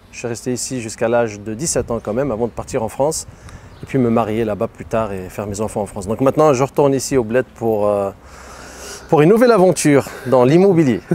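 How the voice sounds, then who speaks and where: Speech races along very fast with ordinary pitch variation over noticeable background noise. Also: man, medium pitch for a man. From Morocco, Tangier. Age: 30s. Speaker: real estate agent and online seller. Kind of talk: interview.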